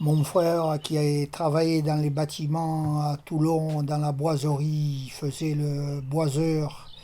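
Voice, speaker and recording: Very slowly, a man with a fairly high pitch and a dark, mellow tone speaks in a monotone, flat intonation. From Tunisia (Sousse), later Marseille. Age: 70s. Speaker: retired plumber, amateur fisherman. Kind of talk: oral history testimony interview. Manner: hesitant, many fillers.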